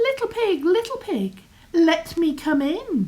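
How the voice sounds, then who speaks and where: A woman speaks in a squeaky, put-on character voice pitched extremely high. Her pitch swings very widely at a fairly slow pace. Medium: read story. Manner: menacing.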